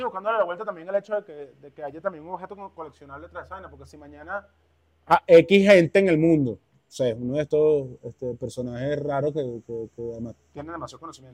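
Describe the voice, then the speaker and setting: A man with a Caracas Venezuelan accent, fairly high in pitch, at a fairly quick pace with lively intonation and big swings in loudness, in a dry, close sound with no echo. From Caracas, Venezuela (El Valle). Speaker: musician and producer. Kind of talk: casual chat. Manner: animated.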